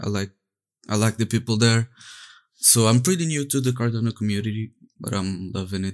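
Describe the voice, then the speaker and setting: A man with a Portuguese accent, medium in pitch with ordinary pitch variation, at a fairly quick pace broken by long, frequent pauses, on a very clean recording with a silent background. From Portugal. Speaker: 3D artist and NFT project co-founder. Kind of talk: casual interview.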